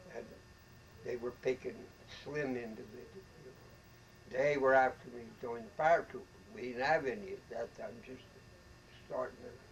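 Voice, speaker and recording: Somewhat breathy and at a moderate pace, a man with an American accent and a medium pitch speaks with lively intonation, big swings in loudness, and long, frequent pauses. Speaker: war veteran. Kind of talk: interview answer.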